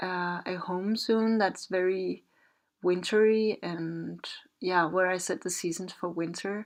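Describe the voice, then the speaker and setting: The speaker has a Danish accent and talks at a very slow pace with fairly even intonation. The background is quiet. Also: woman, medium pitch for a woman. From Denmark. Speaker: video game builder, content creator. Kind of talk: casual commentary over gameplay. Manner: hesitant, many fillers.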